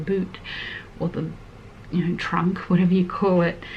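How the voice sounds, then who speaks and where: Soft-spoken and with an Australian accent, a woman talks at a fairly low pitch over noticeable background noise. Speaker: lifestyle vlogger. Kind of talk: heart-to-heart vlog chat. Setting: at home in small house.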